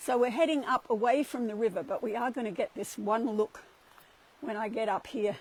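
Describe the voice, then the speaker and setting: With an Australian accent, the speaker talks at a fairly quick pace with ordinary pitch variation. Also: woman, fairly high pitch for a woman. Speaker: spiritual livestream host. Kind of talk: casual walking livestream talk. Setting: outdoors, walking a cliff path.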